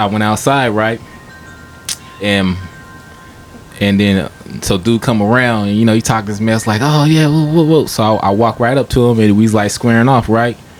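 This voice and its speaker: A soft-spoken man talks at a moderate pace with a fairly low pitch. Music plays in the background. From Stockton, California. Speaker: rapper. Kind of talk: casual chat, storytelling. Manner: soft-spoken, laid back; halting, many fillers.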